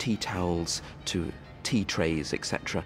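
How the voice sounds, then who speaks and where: A man speaks at a moderate pace in a very deep, low voice with ordinary pitch variation, with clear music in the background. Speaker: art historian at a national gallery. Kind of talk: TV documentary interview answer. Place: hall. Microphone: lapel.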